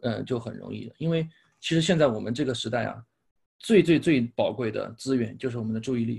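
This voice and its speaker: A man speaks fairly quickly at a medium pitch with lively intonation and vocal fry. The recording is very clean, with a silent background. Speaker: speech-language therapist and English pronunciation coach. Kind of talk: casual interview chat.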